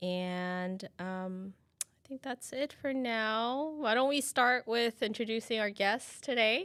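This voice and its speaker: Speaking very slowly at a fairly high pitch, a woman shows ordinary pitch variation and big swings in loudness on a very clean recording with a silent background. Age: 40s. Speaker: live stream co-host, staff member. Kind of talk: casual panel chat on live stream. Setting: live stream.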